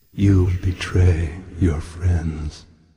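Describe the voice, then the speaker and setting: A man uses a put-on character voice, very deep and low in pitch, with monotone, flat intonation. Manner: ominous, threatening.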